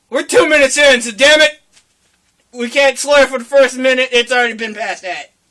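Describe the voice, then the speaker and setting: The voice is raised and projected, moving at a fairly quick pace with fairly even intonation and big swings in loudness. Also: man, extremely high pitch for a man. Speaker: podcast host. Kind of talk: casual chat.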